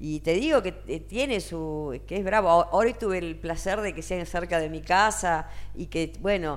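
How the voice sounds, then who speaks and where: Here a woman speaks at a fairly slow pace with hardly any pauses. Noticeable background noise runs behind her. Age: 60s. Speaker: singer and singing teacher. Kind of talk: interview.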